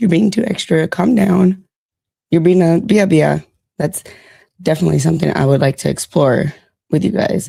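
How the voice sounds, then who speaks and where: A woman's fairly low, dark, mellow voice with vocal fry, very even loudness, ordinary pitch variation, a moderate pace and long, frequent pauses. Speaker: livestream host. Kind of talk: casual chat.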